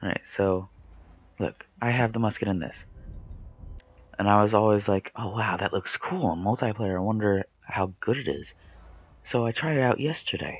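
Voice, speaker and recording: A man's fairly low pitch comes through as he talks at a moderate pace. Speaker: gaming youtuber. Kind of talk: gameplay commentary. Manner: hesitant, many fillers.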